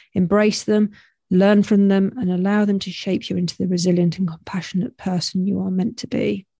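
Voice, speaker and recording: With a British accent, a woman speaks at a moderate pace and medium pitch in a dark, mellow, somewhat breathy tone with fairly even intonation, on a very clean recording with a silent background. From UK. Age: 50s. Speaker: podcast host. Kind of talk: solo reflective monologue. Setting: home recording with headphones and microphone.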